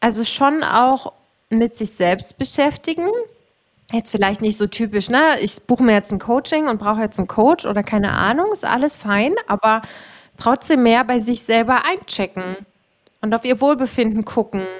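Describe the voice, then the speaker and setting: An ordinary speaking voice moves at a moderate pace. The pitch rises and falls in an ordinary way. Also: woman. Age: 30s. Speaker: podcast host and coach for self-employed women. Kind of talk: casual chat.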